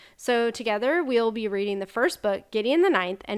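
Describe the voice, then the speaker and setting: Recorded very cleanly against a silent background, a woman speaks at a moderate pace with a slight Southern US accent. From US Texas. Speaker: optometrist and podcast co-host. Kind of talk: casual podcast chat.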